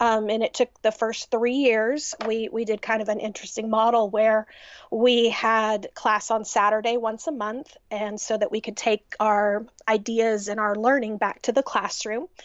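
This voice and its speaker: Speaking with a Texan accent, a woman uses a fairly high pitch, a moderate pace and monotone, flat intonation. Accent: Texan American. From Texas, US. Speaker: music teacher. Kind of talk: casual interview chat.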